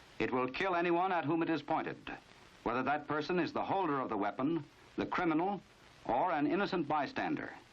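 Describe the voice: A man talks at a fairly quick pace, his fairly high pitch rising and falling with lively intonation.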